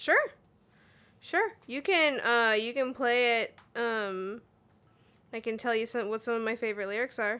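A woman's fairly high, bright, sharp voice at a fairly slow pace, with long, frequent pauses. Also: ordinary pitch variation. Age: 20s. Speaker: podcast co-host. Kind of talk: casual chat.

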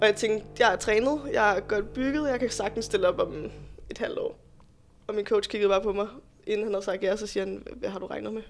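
A woman's voice with big swings in loudness, over music in the background. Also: fairly quick pace. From Denmark, Roskilde. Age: 20s. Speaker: bodybuilding competitor and fitness instructor. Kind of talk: podcast interview.

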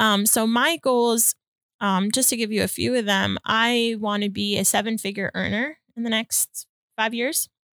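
A woman with an unremarkable speaking voice talks at a fairly high pitch and a moderate pace, with fairly even intonation. Her loudness stays very even, and the sound is dry and close with no echo. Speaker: loan officer and motivational speaker. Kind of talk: casual interview chat.

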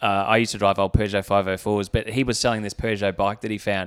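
A man speaks very fast at a fairly low pitch. The recording is very clean, with a silent background. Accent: Australian. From Australia (Canberra). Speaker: former Olympic rower and anesthetist. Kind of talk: casual chat.

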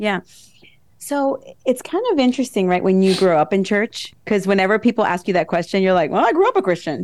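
A woman with an American accent speaks at a fairly quick pace in a normal speaking voice, her medium pitch rising and falling lively while her loudness stays very even. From New Jersey. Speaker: military lawyer and true crime podcaster. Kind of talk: casual interview.

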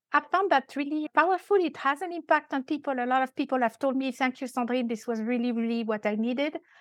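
This speaker has a French accent. The talk comes at a very fast pace with hardly any pauses. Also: woman, high pitch for a woman, ordinary pitch variation, dry, close sound with no echo. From France. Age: 50s. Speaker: compensation and benefits consultant. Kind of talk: casual interview. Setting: remote call.

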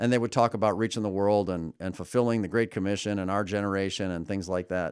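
Very fast speech from a man with an American accent, fairly low pitch and fairly even intonation, on a very clean recording with a silent background. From US Midwest, suburbs of Chicago. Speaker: pastor. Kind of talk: casual interview.

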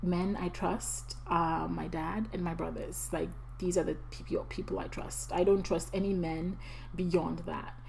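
A woman's fairly slow speech with audible room echo. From Ghana. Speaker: podcast host. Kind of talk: personal testimony and encouragement.

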